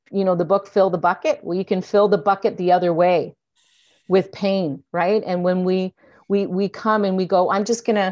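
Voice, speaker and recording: Against a quiet background, a woman with a Canadian accent speaks at a moderate pace and medium pitch in an unremarkable speaking voice. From Canada. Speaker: actor and addiction counselor. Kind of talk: casual interview chat.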